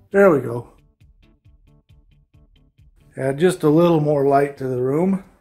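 The speech moves at a fairly slow pace. Faint music plays in the background. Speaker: home salesperson giving tour. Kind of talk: home tour commentary. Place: home room. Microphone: phone near.

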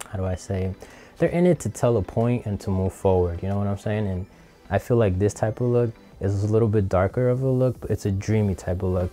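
With faint music in the background, a man talks fairly quickly at a fairly low pitch and ordinary pitch variation. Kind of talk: tutorial. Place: studio. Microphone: lapel.

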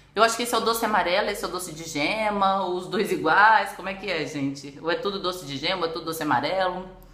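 A woman talks at a fairly quick pace, with audible room echo. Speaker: food vlogger. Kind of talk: casual vlog chat. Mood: relaxed, curious, amused. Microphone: phone near.

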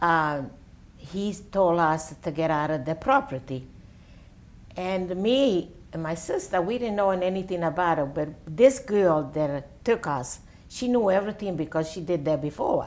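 A woman with an Italian accent, fairly low in pitch, fairly slow, with lively intonation. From Italy. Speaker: World War II orphanage survivor; interviewee. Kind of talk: oral history interview answer. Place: home room. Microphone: lapel.

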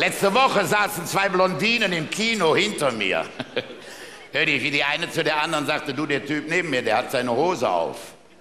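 With music in the background and audible room echo, a man talks at a fairly quick pace in a fairly high pitch. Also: lively intonation. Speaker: carnival speaker (Büttenredner). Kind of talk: carnival stage speech with jokes. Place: stage. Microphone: headset.

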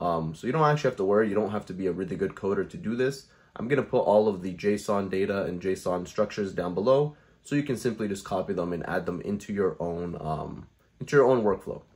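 Using ordinary pitch variation, a man talks at a very fast pace. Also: fairly low pitch for a man. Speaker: tutorial creator. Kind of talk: tutorial. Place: home room.

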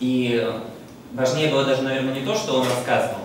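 A man at a very fast pace, with strong room echo and light background noise. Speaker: exhibition volunteer. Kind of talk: public talk. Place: hall.

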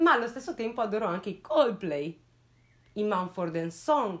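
With a quiet background, a woman talks at a moderate pace, her pitch swinging very widely. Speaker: true crime youtuber. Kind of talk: casual storytelling commentary. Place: home room. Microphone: lapel.

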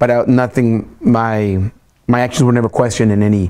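Against a quiet background, a man talks at a fairly quick pace with fairly even intonation. His medium-pitched voice has a dark, mellow tone. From Texas. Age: 40s. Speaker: social worker; interviewee. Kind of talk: oral history interview. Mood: relaxed, reflective. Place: office. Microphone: lapel.

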